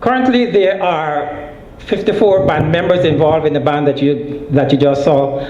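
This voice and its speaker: A man with a fairly high voice speaks at a moderate pace with very even loudness and ordinary pitch variation, amid noticeable background noise and audible room echo. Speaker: nonprofit organization leader. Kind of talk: conference presentation.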